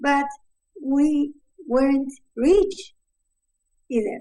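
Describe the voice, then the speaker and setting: A woman's dark, mellow voice at a high pitch, with ordinary pitch variation, a very slow pace and a Spanish accent. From Uruguay. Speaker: mother of the subject. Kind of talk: interview. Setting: video call. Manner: halting.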